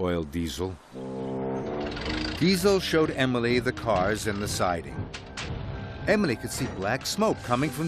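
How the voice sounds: Natural reading voice throughout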